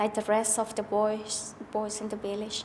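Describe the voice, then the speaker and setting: A woman's fairly high voice is heard against noticeable background noise. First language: not English. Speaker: abuse survivor sharing experience. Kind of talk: testimony. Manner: halting.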